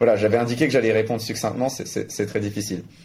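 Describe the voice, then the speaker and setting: A man with a medium-pitched, somewhat breathy voice speaks with ordinary pitch variation. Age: 20s. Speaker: crypto media founder and blockchain entrepreneur. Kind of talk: interview.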